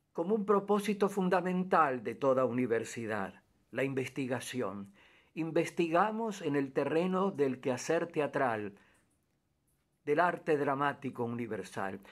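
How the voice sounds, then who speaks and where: This man's voice sits fairly high and swings very widely in pitch. He talks at a fairly slow pace in a very clean recording with a silent background. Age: 80s+. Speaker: theatre director. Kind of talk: documentary narration. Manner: halting.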